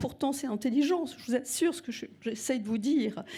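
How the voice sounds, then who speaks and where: A woman speaks at a high pitch with a dark, mellow tone and ordinary pitch variation. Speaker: singing teacher. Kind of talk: speech to audience. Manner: warm, speaks with pauses and fillers.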